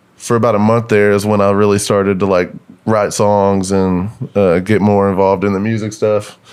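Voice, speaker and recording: A man with a Texas accent talks in a monotone, flat intonation at a fairly low pitch, with very even loudness and long, frequent pauses. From northeast Texas. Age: 20s. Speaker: country musician. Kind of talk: casual chat.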